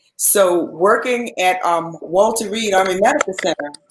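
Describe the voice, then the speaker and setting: A woman talks at a fairly slow pace, and room echo can be heard. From New Orleans. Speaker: former nurse and supplement seller; supplement seller. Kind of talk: interview. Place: home room.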